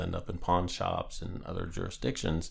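Vocal fry runs through a man's voice as he talks at a fairly quick pace with ordinary pitch variation. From Northeast Pennsylvania. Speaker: police chief. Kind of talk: interview. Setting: office.

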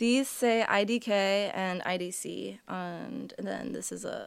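On a very clean recording with a silent background, a woman speaks at a very slow pace. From Greater Boston, Massachusetts. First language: Portuguese. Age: 20s. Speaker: musician. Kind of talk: casual chat. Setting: studio.

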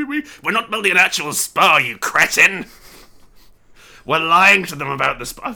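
A man puts on a character voice, pitched high. He moves at a moderate pace with long, frequent pauses. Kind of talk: comic overacting. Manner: smooth, scheming salesman, snapping at the others.

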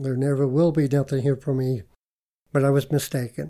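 A man with an American accent and a fairly high pitch, a dark, mellow tone, fairly even intonation and a moderate pace. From Utah, Moab. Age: 60s. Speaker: cook. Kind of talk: interview storytelling.

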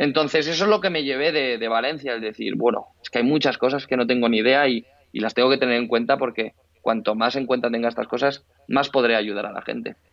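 Very fast delivery from a man at a medium pitch. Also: ordinary pitch variation. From Spain, Barcelona. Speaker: fitness trainer. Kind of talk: interview. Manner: halting.

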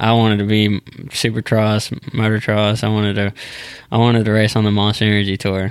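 Monotone, flat intonation in a Texan accent, at a fairly quick pace with very even loudness, in a very clean recording with a silent background. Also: man, fairly low pitch for a man. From Texas (small town near Dallas). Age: 20s. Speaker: professional bull rider. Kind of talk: casual interview.

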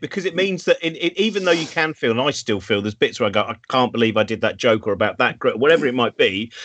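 Speech from a man comes out at a very fast pace. The sound is close and dry, free of echo. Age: 50s. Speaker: live show host. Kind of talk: casual chat. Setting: video call from home.

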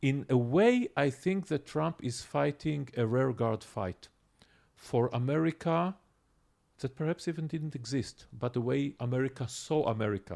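At a fairly slow pace, a man speaks with vocal fry, lively intonation and a slightly mellow tone. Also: medium pitch for a man.

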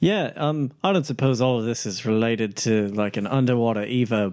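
A man with an ordinary speaking voice at medium pitch and a moderate pace, in a very clean recording with a silent background. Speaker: tabletop RPG player. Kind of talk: tabletop RPG roleplay, casual.

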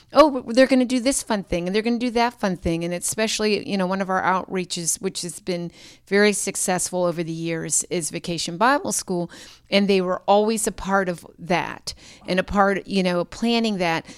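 With an American accent, a woman uses an ordinary speaking voice at a moderate pace. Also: medium pitch for a woman, ordinary pitch variation. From Pittsburgh, Pennsylvania. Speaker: pastor. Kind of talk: interview conversation.

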